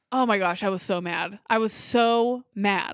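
On a very clean recording with a silent background, a woman with an ordinary speaking voice talks at a fairly high pitch with ordinary pitch variation. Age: 20s. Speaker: movie podcast host. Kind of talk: casual chat.

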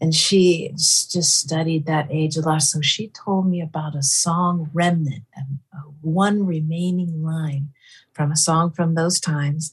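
A somewhat breathy woman with an American accent talks at a fairly low pitch and a fairly slow pace, her intonation fairly even. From Northern California. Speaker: folk musician. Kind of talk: casual chat. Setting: video call.

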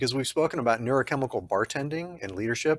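An enthusiastic man with an American accent speaks on a very clean recording with a silent background and a dry, close sound with no echo. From Texas. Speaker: podcast host, physician. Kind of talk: interview.

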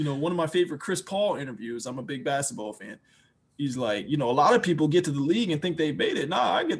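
The delivery is very fast, with lively intonation and an American accent. The voice is somewhat breathy. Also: man, fairly high pitch for a man, very clean recording, silent background. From Washington DC. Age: 20s. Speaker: rapper and music producer. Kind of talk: casual interview.

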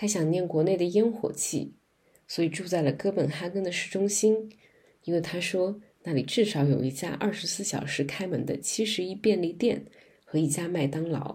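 Her dark, mellow tone sits fairly low in pitch with vocal fry, as this woman talks at a moderate pace with ordinary pitch variation. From China, Guangzhou. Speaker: podcast host. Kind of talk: interview; scripted narration.

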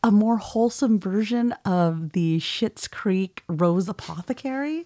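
On a very clean recording with a silent background, a woman with a Californian accent speaks fairly slowly in a dark, mellow tone with lively intonation. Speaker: podcast co-host. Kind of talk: casual chat.

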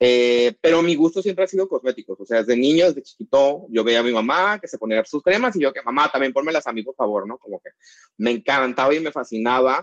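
The man talks at a very fast pace with lively intonation and a medium pitch. The sound is dry and close, with no echo. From Mexico, northern border (Mexicali, Baja California). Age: 30s. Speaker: chemical engineer and cosmetic formulator. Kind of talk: casual interview.

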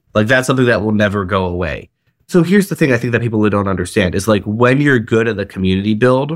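A man talks at a fairly low pitch with ordinary pitch variation, using an ordinary speaking voice in a very clean recording with a silent background. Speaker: artist manager. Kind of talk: casual interview chat.

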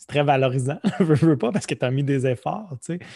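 Somewhat breathy, a man talks at a fairly slow pace against a quiet background. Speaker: podcast host. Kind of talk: casual chat.

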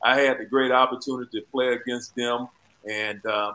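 A man with an Alabama accent, medium pitch and a bright, sharp tone, fairly even intonation at a moderate pace. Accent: Southern US (Alabama). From Alabama, US South (Sumter County). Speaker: former basketball player and county commissioner. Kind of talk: interview.

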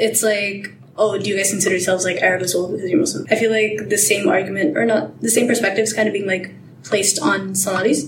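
Over noticeable background noise, a woman of medium pitch talks at a very fast pace with ordinary pitch variation. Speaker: guest, student. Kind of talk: casual chat.

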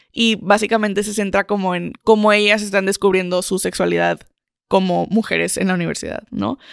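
A woman's medium-pitched voice, flat and monotone, at a fairly quick pace. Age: 20s. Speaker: podcast co-host. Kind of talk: casual chat.

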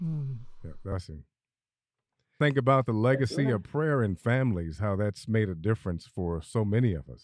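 A man with an American accent, fairly low pitch, very wide pitch swings and big swings in loudness at a moderate pace against a quiet background. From Phoenix, Arizona. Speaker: radio show co-host. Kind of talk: casual family interview on radio.

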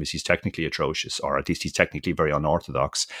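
In an Irish accent, a man talks very fast in a very deep, low pitch with vocal fry, in a dry, close sound with no echo. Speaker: professional poker player and podcaster. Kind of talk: casual interview.

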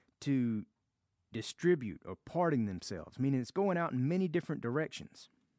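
A man with a Southern US accent has a dark, mellow tone, a fairly high pitch and lively intonation, recorded with a dry, close sound with no echo and a quiet background. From US South. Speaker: Bible study teacher. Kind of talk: Bible study teaching.

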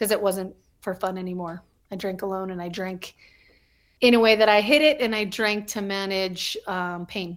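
A plain, everyday voice from a woman with an American accent, medium pitch, fairly even intonation and big swings in loudness, at a moderate pace in a very clean recording with a silent background. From New Mexico, US (Albuquerque). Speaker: podcast co-host in recovery. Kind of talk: casual interview.

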